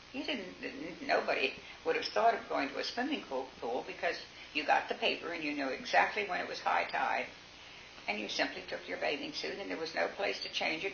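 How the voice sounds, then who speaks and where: A woman speaks with an American accent over noticeable background noise, with audible echo in the room. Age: 80s+. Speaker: local elder recalling town history. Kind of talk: oral history interview. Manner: halting, with fillers.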